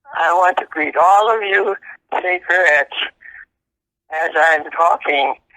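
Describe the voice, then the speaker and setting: The voice has a bright, sharp tone and ordinary pitch variation, with long, frequent pauses and a dry, close sound with no echo. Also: woman, medium pitch for a woman. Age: 80s+. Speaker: retired school principal. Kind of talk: interview answer.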